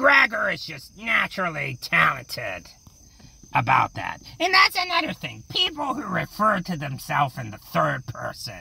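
A moderately paced, put-on character voice. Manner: rambling, goofy, self-satisfied.

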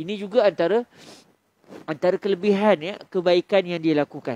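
A man speaks in a Malaysian accent with ordinary pitch variation. The background is quiet and the sound is dry with no echo. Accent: Malaysian Malay. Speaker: Islamic preacher. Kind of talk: religious lecture. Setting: surau, after dawn prayer. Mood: calm, warm teaching tone. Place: hall. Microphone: headset.

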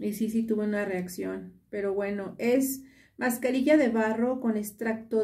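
Her tone is dark and mellow, somewhat breathy, as this woman speaks with fairly even intonation. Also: quiet background. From Mexico. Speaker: beauty vlogger. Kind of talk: tutorial. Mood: relaxed, pleased. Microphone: phone near.

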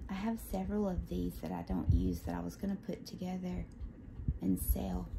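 A soft-spoken woman with a Southern US accent at a fairly slow pace, over noticeable background noise. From Southern United States. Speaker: ASMR unboxing creator. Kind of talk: ASMR unboxing show and tell. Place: home room. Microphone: phone near.

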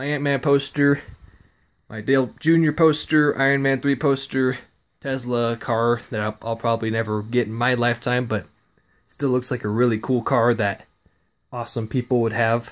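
A man speaks at a moderate pace. His intonation is fairly even. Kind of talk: casual vlog chat. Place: home room. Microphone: phone near.

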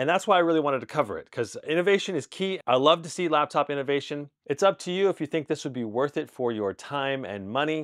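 The man speaks at a very fast pace, and the background is quiet. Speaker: tech reviewer. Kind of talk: product review commentary. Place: home room. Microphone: lapel.

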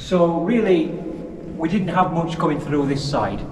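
Noticeable background noise is present. Over it, a man speaks at a fairly quick pace. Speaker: ghost hunter guide. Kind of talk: casual vlog chat. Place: tunnel cave. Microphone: camera far.

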